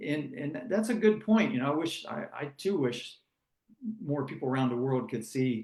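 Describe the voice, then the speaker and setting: Speaking fairly quickly, a man with an American accent uses lively intonation at a fairly high pitch. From United States. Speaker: former sprint car driver. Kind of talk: interview.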